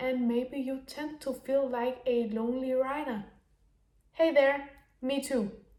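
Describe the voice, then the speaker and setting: With a Danish accent, a woman speaks at a high pitch with fairly even intonation. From Denmark. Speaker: business mentor. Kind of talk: unscripted monologue. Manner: halting.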